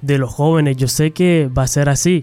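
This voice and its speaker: At a moderate pace, this man talks with a dark, mellow tone at a fairly high pitch. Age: 20s.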